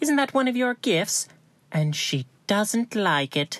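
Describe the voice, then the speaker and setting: A put-on character voice, female-sounding and fairly high, with very wide pitch swings at a fairly slow pace, on a very clean recording with a silent background. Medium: audio drama. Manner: firm, level.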